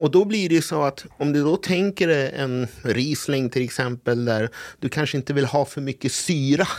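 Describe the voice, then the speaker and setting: On a very clean recording with a silent background, a man talks at a moderate pace with medium pitch, ordinary pitch variation and an ordinary speaking voice. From Sweden, partly raised in Brazil. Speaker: sommelier. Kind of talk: casual chat.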